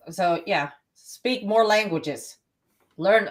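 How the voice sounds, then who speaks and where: Speaking at a very slow pace, a woman with a Texas accent uses lively intonation. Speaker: podcast co-host, emergency dispatcher. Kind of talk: casual chat.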